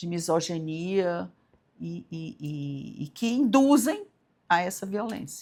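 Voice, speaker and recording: Recorded very cleanly against a silent background, a woman with a fairly low pitch speaks at a very slow pace. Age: 60s. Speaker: judge. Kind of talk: interview. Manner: halting, many repeated words.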